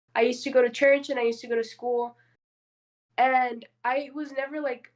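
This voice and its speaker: A high-pitched female voice with a Spanish accent. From southern California and Mexico. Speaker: podcast guest. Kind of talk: casual chat.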